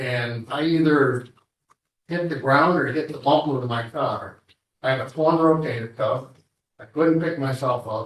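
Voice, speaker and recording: With ordinary pitch variation, a man speaks in a fairly high pitch. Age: 60s. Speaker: assault victim. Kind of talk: victim statement in court. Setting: courtroom. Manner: halting.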